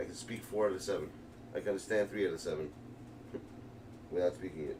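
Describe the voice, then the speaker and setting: Talking at a very fast pace in a New York accent, a man uses a fairly low pitch with ordinary pitch variation. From New York, Brooklyn. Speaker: video game streamer. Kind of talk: live gaming stream commentary. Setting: live stream. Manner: casual, fast, rambling.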